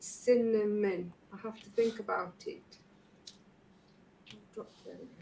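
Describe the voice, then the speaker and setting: A somewhat breathy, fairly high woman's voice with a dark, mellow tone, very slow pace, fairly even intonation and long, frequent pauses. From Stoke-on-Trent, English Midlands. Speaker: craft livestream host. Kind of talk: casual livestream chat. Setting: livestream video call.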